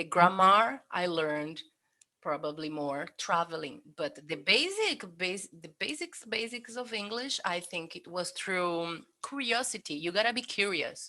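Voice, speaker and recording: Bright and sharp in tone, a woman with a Brazilian accent speaks at a medium pitch. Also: lively intonation, fairly slow pace. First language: Portuguese. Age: 30s. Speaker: cook and polyglot. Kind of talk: interview. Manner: halting.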